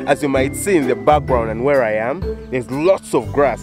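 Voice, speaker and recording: Clear music plays in the background as the fairly quick speech comes through dry, with no echo. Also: man. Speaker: farmer vlogger. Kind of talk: casual vlog chat. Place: farm machine. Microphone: phone near.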